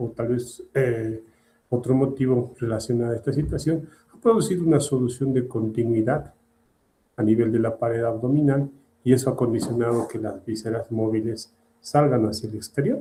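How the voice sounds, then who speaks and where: This somewhat breathy voice has a dark, mellow tone and fairly even intonation, with big swings in loudness. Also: man, medium pitch for a man. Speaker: surgery lecturer. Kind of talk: lecture. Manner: slow.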